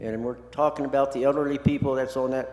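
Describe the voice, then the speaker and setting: Noticeable background noise behind a man at a medium pitch with monotone, flat intonation. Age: 70s. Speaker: public commenter, resident. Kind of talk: public comment at city meeting. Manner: impassioned, repetitive.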